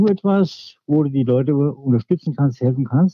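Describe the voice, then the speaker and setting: Using an unremarkable speaking voice, a man speaks at medium pitch with ordinary pitch variation. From Hesse, Germany (Hofheim-Marxheim). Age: 60s. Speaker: local politician. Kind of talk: interview. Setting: podcast recording.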